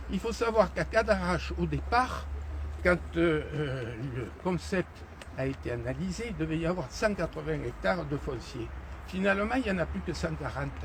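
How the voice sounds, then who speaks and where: Noticeable background noise runs through the clip. Against it, a man keeps a moderate pace. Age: 70s. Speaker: mayor. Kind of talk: unscripted street conversation with residents. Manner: hesitant, many fillers.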